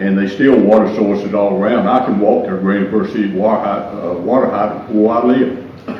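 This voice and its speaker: A man's fairly low voice with a Southern US accent, ordinary pitch variation and a fairly quick pace, amid audible room echo and noticeable background noise. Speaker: retired firefighter, public commenter. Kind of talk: public comment at council meeting. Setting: council meeting with audience. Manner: halting.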